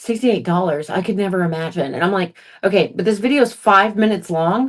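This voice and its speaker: Here a woman speaks at a fairly quick pace. Her pitch varies in an ordinary way. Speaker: content creator / food reviewer. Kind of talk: casual chat. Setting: home livestream. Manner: fast.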